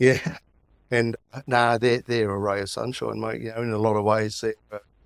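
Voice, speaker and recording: A man with an Australian accent speaks in a monotone, flat intonation. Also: medium pitch for a man, moderate pace, dry, close sound with no echo. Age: 60s. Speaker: podcast guest sharing mental health story. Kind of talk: personal testimony in casual interview. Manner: halting, repetitive.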